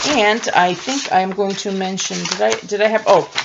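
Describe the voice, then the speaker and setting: A woman speaks with a Russian accent. Her pitch is medium. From Russia, Moscow. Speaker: science fiction author. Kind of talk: casual tutorial. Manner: halting.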